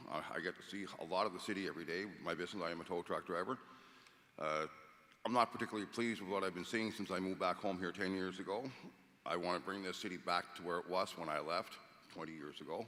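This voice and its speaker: A man speaks very fast in a Cape Breton accent, his pitch very deep and low. His tone is bright and sharp, with fairly even intonation. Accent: Cape Breton Canadian English. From Cape Breton, Nova Scotia. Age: 60s. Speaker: mayoral candidate, tow truck driver. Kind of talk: candidate debate statement. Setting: stage with audience.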